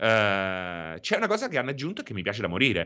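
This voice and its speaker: A man speaks at a fairly quick pace in a bright, sharp tone with very wide pitch swings and vocal fry, over a quiet background. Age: 40s. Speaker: video game streamer. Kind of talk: casual chat. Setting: live stream with chat.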